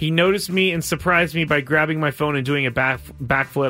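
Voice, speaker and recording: Over music in the background, a man with a fairly high pitch and ordinary pitch variation talks at a very fast pace. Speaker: radio host. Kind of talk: game show host. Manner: brisk, upbeat, explaining rules.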